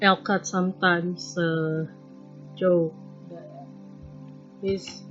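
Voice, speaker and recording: Music plays in the background while the speaker talks with a non-native accent in a monotone, flat intonation. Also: woman. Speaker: artist. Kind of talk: casual rambling while sketching. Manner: hesitant, rambling.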